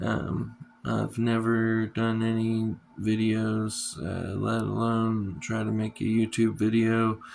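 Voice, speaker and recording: Over noticeable background noise, a man speaks at a medium pitch. He goes at a very slow pace with monotone, flat intonation. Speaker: first-time YouTuber giving DIY skincare tips. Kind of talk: casual talk to camera. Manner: hesitant, many fillers.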